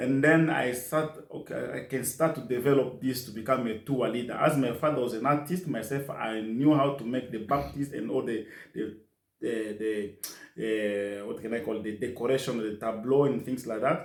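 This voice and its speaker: A man at a medium pitch and moderate pace, with ordinary pitch variation and audible room echo. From DR Congo, South Kivu. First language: French and Kiswahili. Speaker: nurse assistant. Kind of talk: interview. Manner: halting.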